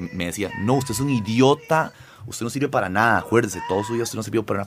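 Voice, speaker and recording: Over noticeable background noise, the speaker talks at a fairly quick pace in an animated tone with lively intonation. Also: man. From Costa Rica (born in Lima, Peru, moved at 7). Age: 40s. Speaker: singer and comedian. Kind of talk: casual interview talk.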